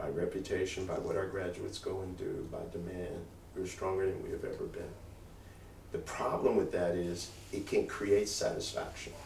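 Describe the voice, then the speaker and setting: There is noticeable background noise and audible room echo. Through it, a man talks at a moderate pace. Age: 60s. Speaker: college president. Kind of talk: talk to alumni with Q&A.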